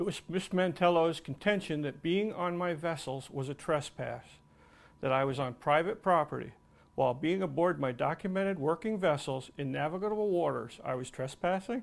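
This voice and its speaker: Here is a man with an ordinary speaking voice, fairly high in pitch with ordinary pitch variation. He keeps a moderate pace in a very clean recording with a silent background. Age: 60s. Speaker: retired commercial diver and tugboat museum owner. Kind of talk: testimony. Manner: formal.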